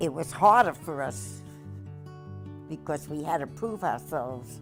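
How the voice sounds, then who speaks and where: Music plays behind the speech. A woman talks fairly slowly. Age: 80s+. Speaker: war veteran. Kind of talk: interview answer.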